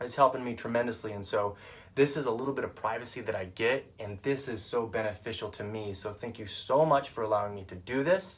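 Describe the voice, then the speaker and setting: A man talks fairly quickly, his loudness swinging widely from moment to moment. His medium-pitched voice is somewhat breathy, with ordinary pitch variation. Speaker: vlogger and online group founder. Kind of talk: casual live video monologue. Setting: in his van. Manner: fast; animated.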